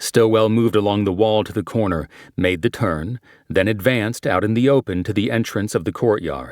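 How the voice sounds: This is a natural reading voice. It carries through the clip.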